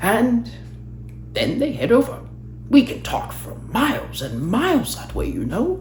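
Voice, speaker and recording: A man performs in a put-on character voice at a moderate pace, with long, frequent pauses. Clear background noise can be heard. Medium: read story. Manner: formal, gracious.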